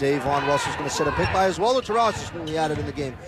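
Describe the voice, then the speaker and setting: Noticeable background noise behind pitch that swings very widely. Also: man. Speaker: sports broadcaster. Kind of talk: basketball play-by-play commentary. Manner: fast, excited.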